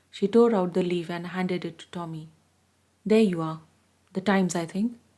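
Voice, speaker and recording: A woman's medium-pitched voice has a dark, mellow tone and a calm, soothing tone, with ordinary pitch variation. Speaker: audiobook reader. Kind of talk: read story.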